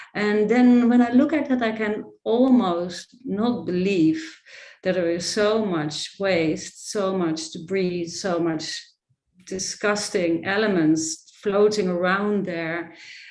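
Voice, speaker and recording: Audible room echo surrounds a woman who talks at a very slow pace, with medium pitch and lively intonation. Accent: Dutch. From Netherlands. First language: Dutch. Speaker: photographer and artist. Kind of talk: presentation of her book.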